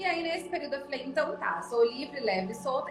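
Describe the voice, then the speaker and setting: A woman speaks in a high pitch with very wide pitch swings. Music plays in the background, and the room echo is audible. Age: 30s. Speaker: entrepreneur and mother. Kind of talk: interview.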